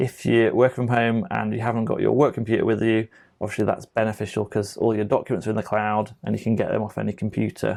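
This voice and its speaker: Against a quiet background, a man mumbles at a very fast pace with hardly any pauses. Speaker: tech trainer; software trainer. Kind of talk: tutorial. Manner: mumbling; casual, with many fillers. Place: home room.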